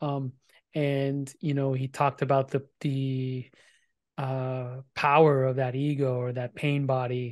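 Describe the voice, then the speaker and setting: The voice speaks at a very slow pace with monotone, flat intonation, in a dry sound with no echo against a quiet background. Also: man. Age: 40s. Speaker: podcast host. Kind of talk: casual interview chat. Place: home room. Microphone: studio mic.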